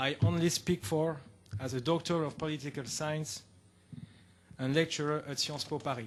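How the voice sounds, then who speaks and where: With a French accent and fairly high pitch, a man speaks with long, frequent pauses. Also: ordinary pitch variation, moderate pace. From France. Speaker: political science lecturer. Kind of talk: conference talk. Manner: formal.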